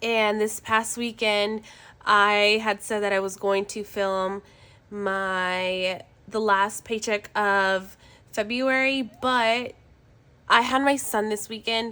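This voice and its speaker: A woman speaks very slowly in a bright, sharp tone with a fairly high pitch. Her intonation stays fairly even, and the recording is very clean with a silent background. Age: 20s. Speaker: budgeting vlogger. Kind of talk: casual vlog. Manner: halting.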